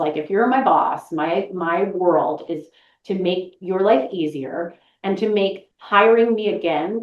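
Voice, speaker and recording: Her intonation lively and her pitch medium, a woman talks in an ordinary speaking voice. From Boston, US Northeast. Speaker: voice actress. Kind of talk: interview conversation.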